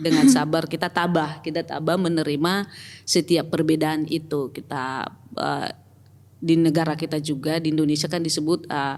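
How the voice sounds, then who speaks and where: In a North Sumatran accent, a woman speaks with a very deep, low pitch. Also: fairly even intonation, moderate pace. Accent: Batak. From Batak region, North Sumatra. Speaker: church pastoral team member and company employee. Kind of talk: podcast interview.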